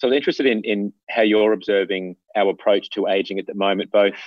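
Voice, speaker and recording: Talking at a very fast pace, a man with an Australian accent keeps a fairly low pitch and fairly even intonation. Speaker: podcast host. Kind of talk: interview conversation. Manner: formal.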